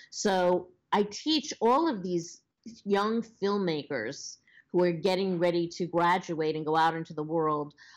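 A woman with a Long Island accent speaks at a fairly slow pace against a quiet background. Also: fairly low pitch for a woman, ordinary pitch variation. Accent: Long Island New York. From Long Island, New York. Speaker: social media professional and former actress. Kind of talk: casual interview. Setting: phone call.

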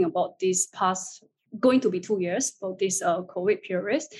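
A woman talks at a moderate pace, her voice somewhat breathy and her pitch varying in an ordinary way. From China. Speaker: marketing agency executive. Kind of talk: panel discussion.

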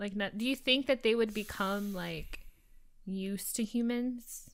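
A woman has an unremarkable speaking voice, fairly high in pitch. She talks at a fairly slow pace with fairly even intonation. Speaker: podcast co-host. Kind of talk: casual chat.

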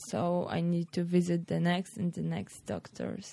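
This woman has a Polish accent. She talks at a fairly slow pace. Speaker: former volleyball player. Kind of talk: interview.

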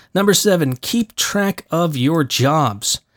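This man mumbles in a fairly high pitch. The sound is dry and close with no echo, on a very clean recording with a silent background. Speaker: voice actor and podcast host. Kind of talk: solo podcast monologue. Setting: home recording studio. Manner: casual, with many fillers.

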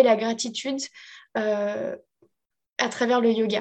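Against a quiet background, a woman speaks at a fairly high pitch. Her intonation stays fairly even. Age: 30s. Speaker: life coach. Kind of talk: interview testimony.

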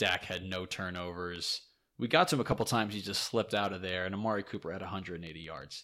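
A man speaks at a very fast pace with a very deep, low pitch and a bright, sharp tone. His intonation is fairly even, but his loudness swings widely. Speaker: podcast host. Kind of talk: casual banter, sports podcast. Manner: teasing, banter.

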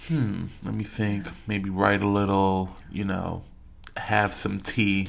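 Over noticeable background noise, a man with a fairly low pitch speaks at a very slow pace with fairly even intonation. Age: 20s. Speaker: podcast co-host. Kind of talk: casual chat.

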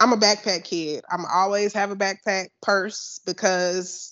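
A woman's medium-pitched voice, a normal speaking voice. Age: 30s. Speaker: funeral director. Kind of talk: casual chat.

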